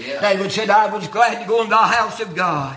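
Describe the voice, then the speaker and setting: A man speaks in a raised, projected voice with a high pitch. His pace is moderate. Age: 70s. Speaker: preacher. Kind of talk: sermon. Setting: church.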